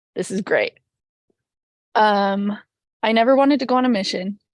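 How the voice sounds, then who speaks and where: A woman with a western US accent speaks at a fairly high pitch, in a dry, close sound with no echo. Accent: American English, western US. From Utah. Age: 20s. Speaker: podcast guest sharing faith story. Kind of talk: personal testimony. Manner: halting, many fillers and restarts.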